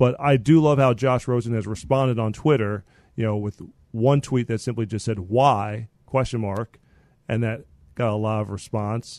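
Against a quiet background, a man with an unremarkable speaking voice talks at a medium pitch and a moderate pace with fairly even intonation. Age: 30s. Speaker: podcast host. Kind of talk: casual chat.

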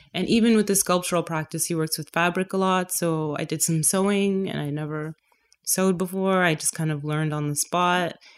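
A woman speaks at a fairly quick pace in an unremarkable speaking voice. Her pitch is fairly low and her intonation fairly even. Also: very clean recording, silent background. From Canada, Toronto. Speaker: painter. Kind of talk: casual interview.

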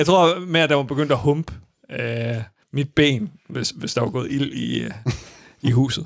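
A man speaks at a fairly slow pace. His pitch sits fairly high and moves with ordinary variation. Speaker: podcast host. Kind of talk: casual chat. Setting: studio.

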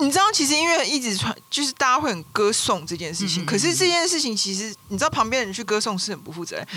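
A woman talks very fast in a raised, projected voice with very wide pitch swings. Noticeable background noise runs underneath. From Taiwan, Taipei. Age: middle-aged. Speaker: writer. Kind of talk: casual interview chat.

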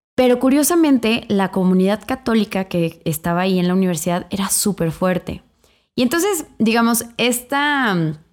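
A normal speaking voice at a moderate pace, lively in intonation and very even in loudness, on a very clean recording with a silent background. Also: woman, medium pitch for a woman. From Mexico, Irapuato, Guanajuato. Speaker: podcast co-host, pro-life feminist activist. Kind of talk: casual interview.

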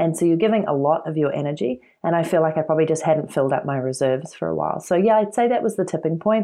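A woman with a New Zealand accent talks at a very fast pace with hardly any pauses. Her pitch is very deep and low, and her intonation is lively. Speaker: entrepreneur and author. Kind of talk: interview.

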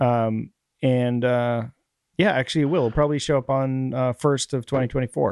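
In an unremarkable speaking voice of medium pitch, a man talks at a moderate pace with fairly even intonation, the sound dry and close with no echo against a quiet background. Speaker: podcast host. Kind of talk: casual chat.

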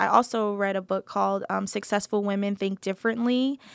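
A woman's medium-pitched, fairly even voice with an American accent, a plain, everyday voice at a fairly quick pace, on a very clean recording with a silent background and a dry, close sound with no echo. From New Jersey. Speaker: creative agency founder. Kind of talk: interview.

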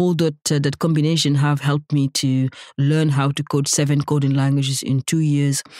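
At a moderate pace, a woman speaks with a very deep, low pitch and a dark, mellow tone, her intonation monotone and flat and her loudness very even. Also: dry, close sound with no echo. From Senegal, West Africa. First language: not English (Senegalese). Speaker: nonprofit founder. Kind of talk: interview.

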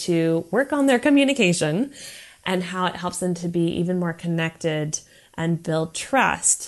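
A woman with an American accent and an unremarkable speaking voice, medium in pitch, at a moderate pace with lively intonation against a quiet background. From USA. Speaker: counselor. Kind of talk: prepared monologue.

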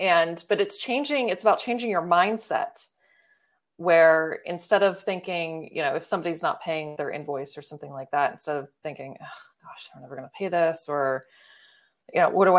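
A woman with an American accent uses an ordinary speaking voice, fairly low in pitch, at a moderate pace, with ordinary pitch variation and big swings in loudness. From Baltimore, US. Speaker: video editor and coach. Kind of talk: casual interview.

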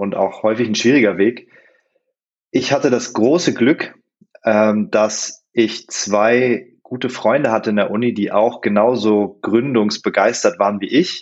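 Here is a man with a normal speaking voice and a medium pitch. He speaks at a fairly slow pace with ordinary pitch variation. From northern Germany, Hannover. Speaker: app company co-founder. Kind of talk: interview.

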